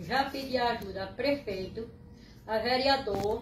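A high-pitched woman speaks fairly slowly with ordinary pitch variation, with audible room echo and light background noise. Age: 80s+. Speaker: resident making appeal. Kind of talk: resident's appeal to camera. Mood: worried, pleading. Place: home room. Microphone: phone near.

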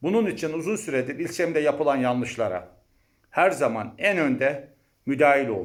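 At a moderate pace, a man with a fairly high pitch and lively intonation has a plain, everyday voice. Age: 50s. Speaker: university lecturer and mayoral candidate. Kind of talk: campaign speech.

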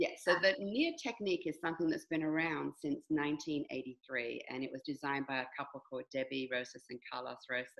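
Against a quiet background, a woman with a very deep, low voice talks at a fairly quick pace. Her pitch varies in an ordinary way. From London, England. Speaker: movement and fitness teacher. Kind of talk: interview. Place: home room. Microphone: video call.

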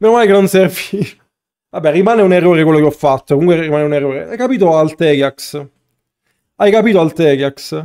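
A man talks very fast in a Basilicata accent, at a fairly high pitch with ordinary pitch variation and a dark, mellow tone. He leaves long, frequent pauses against a quiet background. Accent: Matera. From Italy. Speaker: gaming streamer. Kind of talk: live gameplay commentary. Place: home room.

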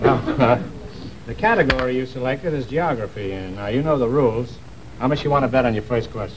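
The speech goes by at a very fast pace. There is noticeable background noise. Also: man, ordinary pitch variation. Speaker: quiz show host. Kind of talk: game show hosting. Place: stage.

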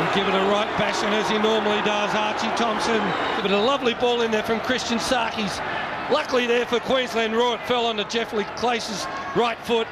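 A man's high-pitched, relaxed voice, monotone and flat in intonation, very even in loudness, at a fairly quick pace, over noticeable background noise. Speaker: football co-commentator. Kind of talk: live sports co-commentary. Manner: relaxed analytical, conversational.

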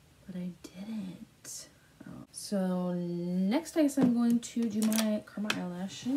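Over noticeable background noise, a woman speaks at a very slow pace and medium pitch with ordinary pitch variation. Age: 20s. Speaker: beauty YouTuber. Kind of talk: makeup tutorial. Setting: home filming to camera. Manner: animated, giggly.

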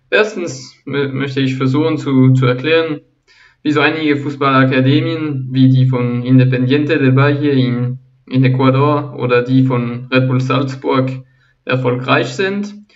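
With a French accent, a man speaks at a fairly slow pace and medium pitch, keeping his intonation fairly even. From Switzerland. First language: French (speaking German). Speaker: football analysis YouTuber. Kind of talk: channel introduction monologue. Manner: halting, frequent repetitions and fillers.

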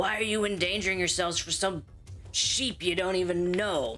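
A put-on character voice at middle pitch and moderate pace, over clear background noise. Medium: actual play. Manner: scornful, taunting.

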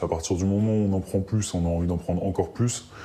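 The voice has a dark, mellow tone and fairly even intonation. It moves at a very fast pace. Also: man. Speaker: human resources worker, drug user. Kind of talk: interview.

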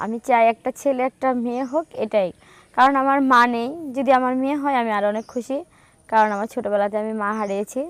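A woman speaks at a high pitch with fairly even intonation, in a dry, close, very clean recording with a silent background. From Bangladesh, Kushtia. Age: 20s. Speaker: NGO worker seeking a spouse. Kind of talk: interview.

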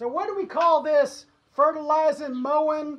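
Loud and high-pitched, a woman talks at a fairly slow pace with ordinary pitch variation. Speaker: son reviewing mower. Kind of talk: casual mock review talk to camera. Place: home room.

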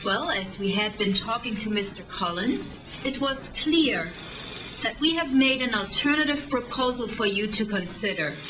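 With lively intonation and a fairly high pitch, a woman speaks at a moderate pace amid noticeable background noise. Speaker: actress. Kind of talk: film scene dialogue.

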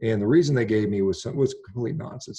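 Over a quiet background, a man talks at a very fast pace with lively intonation. His voice is somewhat breathy, with a dark, mellow tone. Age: 50s. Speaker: physician and carnivore diet advocate; podcast guest. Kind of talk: interview conversation. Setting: remote call. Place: home room. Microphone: video call.

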